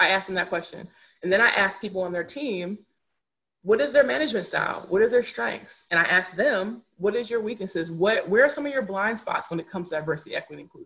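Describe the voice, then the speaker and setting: Loud and very fast, a woman talks at a medium pitch in a bright, sharp tone. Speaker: diversity and inclusion consultant. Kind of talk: podcast interview.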